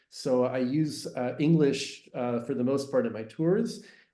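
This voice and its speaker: A man's medium-pitched voice with a Canadian accent, a dark, mellow tone, ordinary pitch variation and audible room echo. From Canada, English-speaking Montreal. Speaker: tour guide and business owner. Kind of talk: podcast interview. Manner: hesitant with many fillers.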